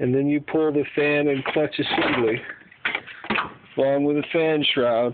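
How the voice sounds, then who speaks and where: A man's fairly high, monotone voice at a fairly slow pace, with very even loudness, long, frequent pauses and noticeable background noise. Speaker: home car mechanic. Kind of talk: casual how-to talk to camera. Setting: phone recording, garage.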